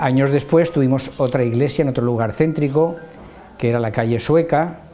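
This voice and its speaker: A man talks at a moderate pace with a fairly high pitch and ordinary pitch variation. The recording has noticeable background noise and audible room echo. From Spain, Valencia. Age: 70s. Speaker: church member. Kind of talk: testimony. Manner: halting.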